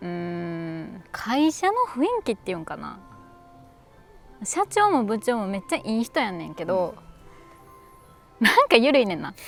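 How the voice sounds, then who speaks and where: Over music in the background, a woman with a medium pitch speaks at a fairly slow pace, her voice making very wide pitch swings and big swings in loudness, with long, frequent pauses. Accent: Kansai. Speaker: actor. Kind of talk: scripted casual conversation. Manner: natural speed, casual.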